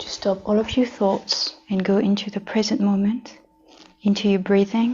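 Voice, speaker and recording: Over noticeable background noise, a woman with a medium pitch speaks at a moderate pace in a monotone, flat intonation. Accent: French. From France. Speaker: yoga teacher. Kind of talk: yoga class instruction.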